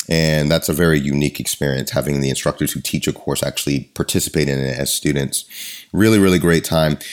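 Noticeable background noise runs under this recording. A man with a very deep, low pitch talks at a very fast pace. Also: fairly even intonation. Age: 40s. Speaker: martial arts podcast host and Muay Thai coach. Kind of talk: scripted intro and ad read; casual interview chat.

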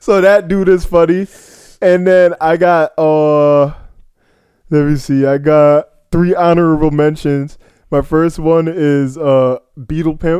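Very slow and marked by long, frequent pauses, a man's fairly high-pitched voice has a dark, mellow tone and fairly even intonation. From Jamaican heritage. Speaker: podcast co-host. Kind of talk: casual chat.

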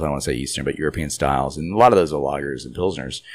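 With an American accent, a man speaks at a very deep, low pitch, and vocal fry comes through. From New York City. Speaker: brewery owner. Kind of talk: interview.

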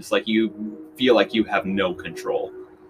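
A man's medium-pitched speech comes through over noticeable background noise. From Kansas City, Missouri. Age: 20s. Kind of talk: casual chat.

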